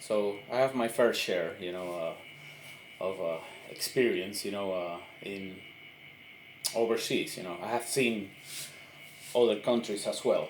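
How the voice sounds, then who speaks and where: A man's fairly low voice at a fairly slow pace, fairly even in intonation, with long, frequent pauses, audible room echo and noticeable background noise. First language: Spanish. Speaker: army veteran, political commentator. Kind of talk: impromptu monologue. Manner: halting, many fillers.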